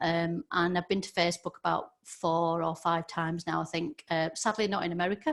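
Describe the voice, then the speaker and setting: Here a woman with a Yorkshire accent speaks at a fairly low pitch. Her pace is moderate. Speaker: social media trainer. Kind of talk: webinar presentation. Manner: hesitant, many fillers.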